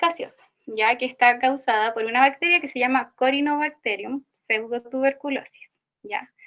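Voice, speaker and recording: Fairly even in intonation, a woman with a high pitch and a Chilean accent speaks at a moderate pace. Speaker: student teaching assistant. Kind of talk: online tutorial session. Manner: halting, self-correcting.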